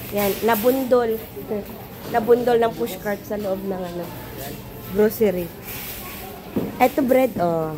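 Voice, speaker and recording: With audible room echo and noticeable background noise, a woman of fairly high pitch speaks at a very slow pace, with ordinary pitch variation, big swings in loudness, and long, frequent pauses. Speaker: vlogger. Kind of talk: casual vlog chat. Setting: grocery store.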